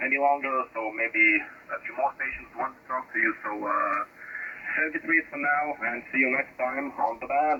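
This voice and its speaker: The speaker has a Lithuanian accent and keeps a moderate pace. Noticeable background noise runs underneath. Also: man. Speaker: amateur radio operator. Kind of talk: ham radio contact. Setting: radio transmission.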